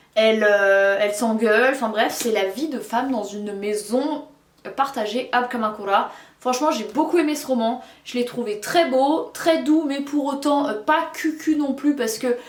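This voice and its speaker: Audible room echo and noticeable background noise surround a woman's high-pitched voice. She talks at a fairly slow pace with ordinary pitch variation. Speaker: book reviewer. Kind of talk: casual book review vlog.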